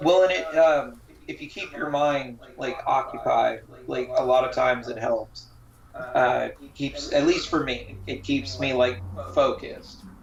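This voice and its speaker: Fairly slow male speech amid noticeable background noise. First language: not English. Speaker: sideshow performer. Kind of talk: casual chat. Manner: halting.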